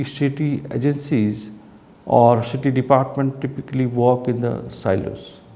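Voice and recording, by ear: A man with a medium-pitched voice and a dark, mellow tone is heard with audible room echo.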